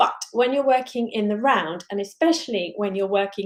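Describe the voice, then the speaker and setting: A fairly high-pitched woman's voice in a southern English accent, with lively intonation. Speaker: crochet designer. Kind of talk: live stream chat. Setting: live stream. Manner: fast.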